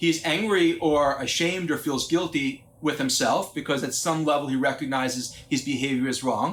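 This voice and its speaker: An unremarkable speaking voice, a man's, fairly high in pitch, with ordinary pitch variation at a moderate pace. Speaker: psychologist and parenting speaker. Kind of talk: lecture. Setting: conference talk.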